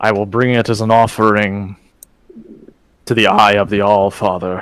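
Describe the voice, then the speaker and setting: Putting on a character voice, a man speaks at a moderate pace in a fairly low pitch with monotone, flat intonation. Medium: actual play. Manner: formal, dignified.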